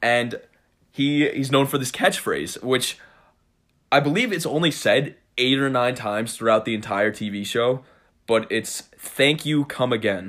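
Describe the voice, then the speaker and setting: A man with an American accent speaks in a plain, everyday voice at a medium pitch and a fairly slow pace, with ordinary pitch variation, on a very clean recording with a silent background. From New York, Cold Spring (Hudson Valley). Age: 20s. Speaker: podcast host, college student. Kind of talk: casual chat.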